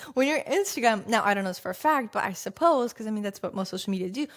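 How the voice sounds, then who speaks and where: A woman with a slight Russian accent talks very fast in an animated tone, her pitch swinging very widely. The recording is very clean, with a silent background. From Russia, Saint Petersburg. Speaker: success coach and content creator. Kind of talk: podcast monologue.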